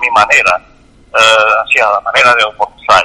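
A man's voice, dry and close with no echo, over noticeable background noise. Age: 80s+. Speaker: bonsai hobbyist. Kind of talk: interview. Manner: halting.

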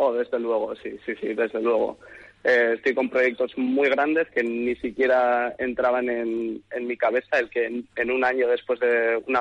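A man speaks at a fairly slow pace. His pitch is medium. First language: English (speaking Spanish). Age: 20s. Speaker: hairdresser and stylist. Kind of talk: interview.

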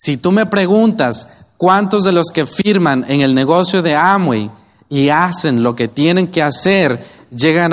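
A man in a Mexican accent speaks at a fairly slow pace and a fairly high pitch, with lively intonation and very even loudness. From Mexico, Oaxaca. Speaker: network marketing business leader. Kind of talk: motivational talk.

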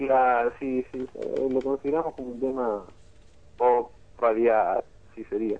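A man talks at a fairly slow pace, leaving long, frequent pauses. His pitch is medium and his intonation monotone and flat. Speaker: rock band singer and guitarist. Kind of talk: radio interview.

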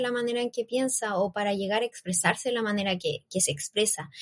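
A woman with a Chilean accent, fairly high pitch and ordinary pitch variation, against a quiet background. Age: 20s. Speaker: youth project team member. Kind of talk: casual panel chat on a live stream. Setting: live stream.

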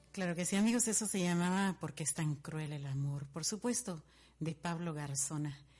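A woman speaks at a fairly slow pace in a somewhat breathy voice, her pitch fairly low with ordinary variation. Her tone is dark and mellow, and the background is quiet. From Guatemala, Guatemala City. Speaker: radio host. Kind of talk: radio show with dedications and music.

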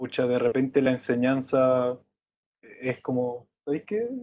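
In a Chilean accent, a man speaks at a medium pitch. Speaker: university student. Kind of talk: casual chat.

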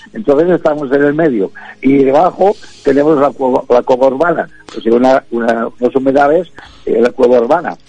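Noticeable background noise sits behind this man's fairly high voice. His loudness stays very even, with ordinary pitch variation. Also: moderate pace. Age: 70s. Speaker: music therapist. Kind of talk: casual chat.

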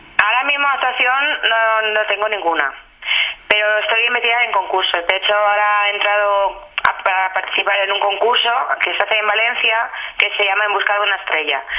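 A woman at medium pitch and a fairly quick pace, with ordinary pitch variation, very even loudness and noticeable background noise. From Spain, Benidorm (Valencian Community). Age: 30s. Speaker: aspiring singer. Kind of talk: radio interview.

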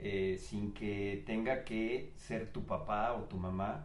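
There's a man talking here. His voice carries a clear echo from the room. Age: 50s. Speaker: podcast guest. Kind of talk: casual chat. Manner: halting.

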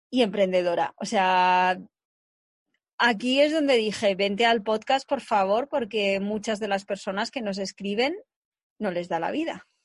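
A woman with an unremarkable speaking voice and a medium pitch talks at a fairly slow pace with ordinary pitch variation against a quiet background. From Spain, Segovia. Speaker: podcast host. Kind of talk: casual interview.

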